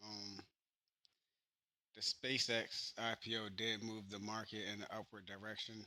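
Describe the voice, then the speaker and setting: In a bright, sharp tone, a man speaks with monotone, flat intonation at a fairly low pitch. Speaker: investing podcaster. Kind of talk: casual unscripted update. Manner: halting, many fillers.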